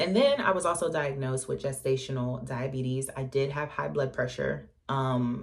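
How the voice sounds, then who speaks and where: A woman with a very deep, low pitch speaks at a moderate pace with ordinary pitch variation and hardly any pauses, amid noticeable background noise. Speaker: vlogger. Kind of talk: casual vlog storytelling. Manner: chatty, many fillers.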